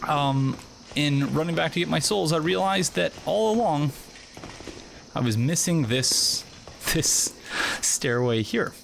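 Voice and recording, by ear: Over faint background noise, a man speaks slowly with long, frequent pauses in a fairly high, nasal voice with vocal fry and lively intonation.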